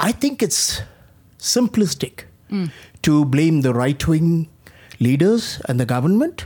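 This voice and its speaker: Very slow and very deep for a woman, her voice has a dark, mellow, somewhat breathy tone, very even loudness, very wide pitch swings, and long, frequent pauses. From India. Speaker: audience member, critical thinking teacher. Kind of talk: audience question.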